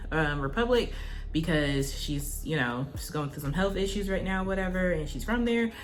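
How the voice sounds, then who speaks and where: A woman's fairly low-pitched voice with lively intonation, audible room echo and music in the background. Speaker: YouTuber. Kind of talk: storytime vlog. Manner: casual, words not fully pronounced.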